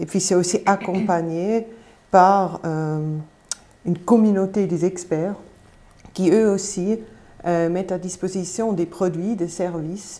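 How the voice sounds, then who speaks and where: A woman talks very slowly, with long, frequent pauses. Her medium-pitched voice has a dark, mellow tone and fairly even intonation. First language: Swiss German (speaking French). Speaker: campaign representative. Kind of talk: live panel debate. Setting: studio.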